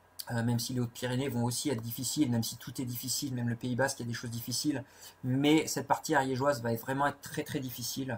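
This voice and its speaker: A man with a medium-pitched, somewhat breathy voice talks at a very fast pace in a flat monotone. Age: 40s. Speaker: ultra-trail runner. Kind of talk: live Q&A. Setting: Facebook live video. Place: home room. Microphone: webcam.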